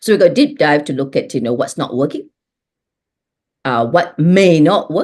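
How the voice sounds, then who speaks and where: A woman speaks at a moderate pace with fairly low pitch and very wide swings in pitch. Her speech is broken by long, frequent pauses. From Singapore. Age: 60s. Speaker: transformation leader, business coach. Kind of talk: interview conversation.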